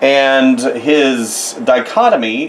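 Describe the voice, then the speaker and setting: A man's medium-pitched voice is heard along with noticeable background noise. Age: 50s. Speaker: artist. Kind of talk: drawing tutorial. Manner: casual, rambling.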